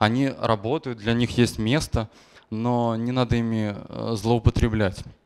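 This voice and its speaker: A man's voice of medium pitch at a moderate pace, against a quiet background. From Belarus, Gomel; Belarus. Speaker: software engineer; conference speaker. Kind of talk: conference talk. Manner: hesitant, frequent filler sounds. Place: hall. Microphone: handheld.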